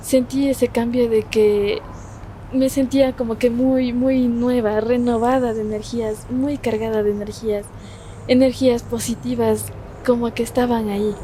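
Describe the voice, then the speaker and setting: Against noticeable background noise, a woman with a high pitch talks at a fairly slow pace, with fairly even intonation and long, frequent pauses. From Kichwa Kayambi community of Paquiestancia, Cayambe, Ecuador. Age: young. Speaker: law student and content creator. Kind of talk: interview answer.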